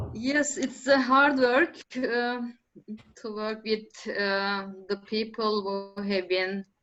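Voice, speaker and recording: Very slow speech in a non-native accent carries ordinary pitch variation. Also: woman. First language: not English. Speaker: permaculture practitioner. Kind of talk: panel discussion. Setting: conference panel. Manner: halting.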